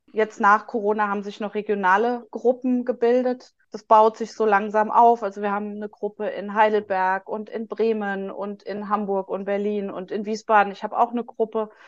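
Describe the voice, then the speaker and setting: A woman speaks at a moderate pace in a fairly high pitch, with hardly any pauses. Her intonation is monotone and flat, while her loudness swings widely. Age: 40s. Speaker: patient advocate, social worker. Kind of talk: interview. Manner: halting, many fillers.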